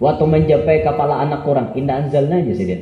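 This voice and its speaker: A man with a South Kalimantan accent, amid noticeable background noise. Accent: Banjar, Kelua dialect. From South Kalimantan, Indonesia. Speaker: Islamic preacher. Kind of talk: religious sermon. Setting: live gathering. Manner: humorous.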